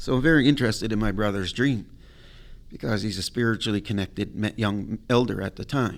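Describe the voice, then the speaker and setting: A man speaks with lively intonation and vocal fry. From Nova Scotia Mi'kmaq community. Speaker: wildlife management coordinator. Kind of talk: storytelling interview. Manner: animated.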